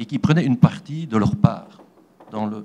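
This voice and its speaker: A man with a dark, mellow tone speaks at a fairly slow pace, his pitch swinging very widely. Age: 60s. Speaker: audience member at conference. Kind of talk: question from the floor.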